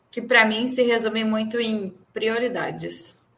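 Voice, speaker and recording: The woman's voice sits at a medium pitch, and audible room echo surrounds it. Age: 30s. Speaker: podcast co-host. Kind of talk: casual chat.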